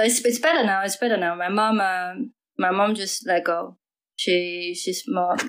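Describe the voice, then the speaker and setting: Someone speaks at a moderate pace in a Mandarin accent with ordinary pitch variation. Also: woman, medium pitch for a woman. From Taiwan. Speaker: DJ. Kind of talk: casual interview chat. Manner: halting.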